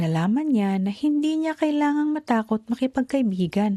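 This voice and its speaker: A woman's high-pitched voice, dark and mellow, gentle and soothing, with very wide pitch swings. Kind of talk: bedtime story narration. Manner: gentle, soothing, slow storyteller pace.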